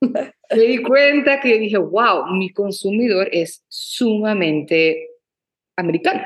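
An unremarkable speaking voice belongs to a woman with a fairly high pitch. She talks at a fairly slow pace with lively intonation. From Venezuela, Maracaibo. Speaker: entrepreneur and influencer. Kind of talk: interview, casual chat.

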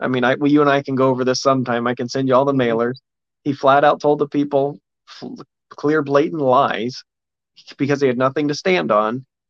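With an American accent and a normal speaking voice, a man talks at medium pitch and a fairly quick pace, the sound dry and close with no echo. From Indiana. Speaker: political candidate. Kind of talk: interview.

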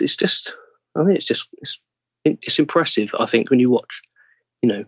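A man speaks with an English accent. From England, London. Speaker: actor. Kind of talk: interview.

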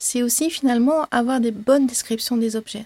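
With a dark, mellow tone and a high pitch, a woman speaks at a moderate pace and fairly even intonation in a dry, close sound with no echo. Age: 20s. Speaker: mathematician. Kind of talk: interview.

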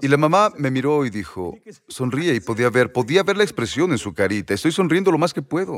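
The speaker talks at a fairly quick pace with very wide pitch swings and vocal fry. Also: man, fairly high pitch for a man. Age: 80s+. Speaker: preacher. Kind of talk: sermon. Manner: animated.

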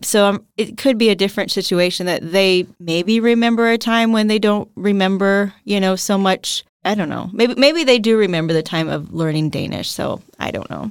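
A woman's plain, everyday voice with an American accent, medium-pitched, at a moderate pace with hardly any pauses and ordinary pitch variation, on a very clean recording against a silent background. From United States. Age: 40s. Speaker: former teacher and blogger. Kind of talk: casual interview.

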